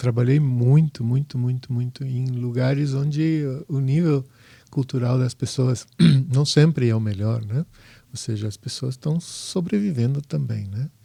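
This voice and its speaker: Speaking at a fairly slow pace, the voice is somewhat breathy with a dark, mellow tone and ordinary pitch variation. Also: man, medium pitch for a man. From southern Brazil, Porto Alegre. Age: 60s. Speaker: home inspector, former architect. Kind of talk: podcast interview. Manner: halting.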